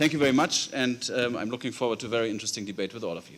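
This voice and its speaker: A man's voice with a German accent. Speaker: politician. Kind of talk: formal opening remarks. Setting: conference hall with audience.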